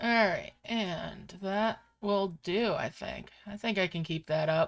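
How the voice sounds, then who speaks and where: A woman speaks at a very slow pace in a relaxed tone with vocal fry. Her pitch is medium, with ordinary variation. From Upstate New York. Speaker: gaming streamer. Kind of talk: live gameplay stream chat. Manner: casual, relaxed.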